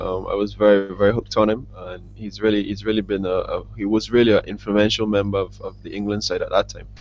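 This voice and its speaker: A man speaks with a West Indian accent. Music plays in the background. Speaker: professional cricketer. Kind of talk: interview. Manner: fast; halting, many fillers and repeats.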